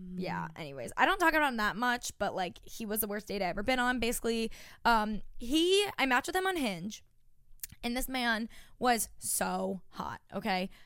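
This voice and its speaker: With very wide pitch swings, a woman speaks at a moderate pace in a fairly high voice on a very clean recording with a silent background. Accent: American. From Long Island, New York. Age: 20s. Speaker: podcast co-host. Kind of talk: casual chat.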